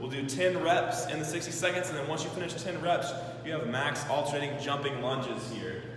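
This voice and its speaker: Strong room echo and noticeable background noise surround the recording. A man speaks at a fairly quick pace. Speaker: fitness coach. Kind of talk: tutorial. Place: gym. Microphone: camera far.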